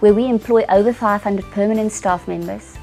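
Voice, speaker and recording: A woman's medium-pitched voice at a fairly quick pace, ordinary pitch variation, and music in the background. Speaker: corporate services director / CFO. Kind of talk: interview answer.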